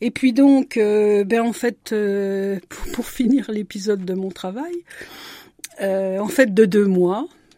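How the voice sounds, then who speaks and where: Speaking very slowly, a woman holds a medium pitch while her pitch varies in an ordinary way. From France, Marne (Champagne). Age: 70s. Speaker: retired women's group leader. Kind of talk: radio interview. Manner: hesitant.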